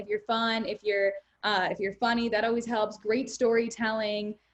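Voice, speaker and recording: The speaker is a woman. Her pitch is fairly high. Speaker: radio host. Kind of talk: interview. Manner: fast.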